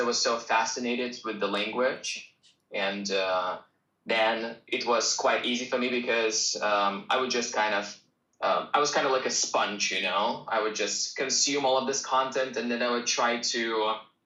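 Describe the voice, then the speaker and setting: With a Russian accent, a man speaks at a moderate pace and very even loudness. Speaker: English teacher. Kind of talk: live stream Q&A. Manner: casual.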